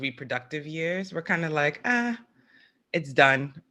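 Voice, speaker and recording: A woman's unremarkable speaking voice with an American accent, fairly low in pitch and fairly quick in pace, on a very clean recording with a silent background. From New York. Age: 40s. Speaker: podcast host. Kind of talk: scripted narration; casual chat.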